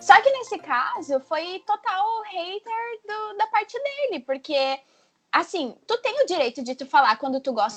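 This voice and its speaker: Speaking at a moderate pace, a woman uses very wide pitch swings. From southern Brazil. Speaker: blogger guest. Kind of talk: casual chat.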